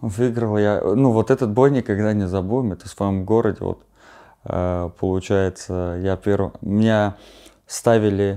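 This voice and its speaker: Against a quiet background, a man speaks at a fairly slow pace in a dark, mellow tone. His pitch is fairly low and his intonation fairly even. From Armenia. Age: 20s. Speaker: bare-knuckle fighter; interview guest. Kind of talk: interview. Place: home room.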